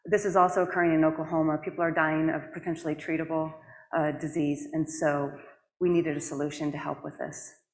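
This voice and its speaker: Over audible room echo, a woman with a very deep, low pitch speaks very fast in a monotone, flat intonation. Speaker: public health director, conference speaker. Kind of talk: conference presentation. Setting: stage with audience. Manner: fast when passionate.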